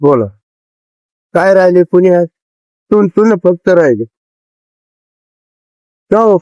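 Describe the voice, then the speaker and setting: This man's voice sits high in pitch, with ordinary pitch variation and a dark, mellow tone, recorded dry and close with no echo. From Pune. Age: 80s+. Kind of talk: street interview answer.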